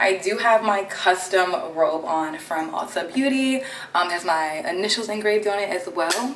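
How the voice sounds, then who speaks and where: A woman speaks with an American accent at a moderate pace, her medium pitch showing ordinary variation. Noticeable background noise and audible room echo are present. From Maryland, Baltimore. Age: 20s. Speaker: beauty content creator. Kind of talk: casual chat get-ready-with-me vlog. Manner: animated.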